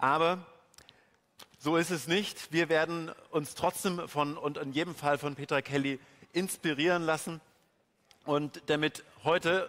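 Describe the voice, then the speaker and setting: A man is speaking. His intonation is fairly even. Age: 30s. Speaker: event moderator. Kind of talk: stage interview. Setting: stage with audience. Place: hall. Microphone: handheld.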